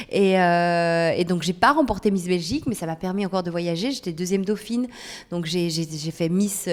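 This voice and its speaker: A woman's unremarkable speaking voice, fairly low in pitch, with ordinary pitch variation and a moderate pace. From Belgium, Charleroi (Wallonia). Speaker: TV presenter and weather presenter. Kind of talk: casual podcast interview.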